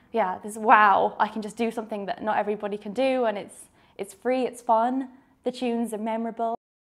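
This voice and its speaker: A woman talks at a fairly quick pace with a southern English accent and a fairly high pitch. Her intonation stays monotone and flat while her loudness swings widely. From southern England, near Brighton. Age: 20s. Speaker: fiddle player. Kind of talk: documentary interview.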